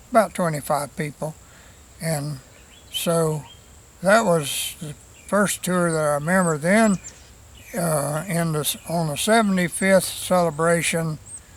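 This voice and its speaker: Against noticeable background noise, a man with an American accent speaks at a fairly slow pace in a high pitch, with fairly even intonation and long, frequent pauses. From US South, South Florida (Hardee County). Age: 80s+. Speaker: local historian, cemetery tour guide. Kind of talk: interview. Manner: halting, many fillers and repetitions.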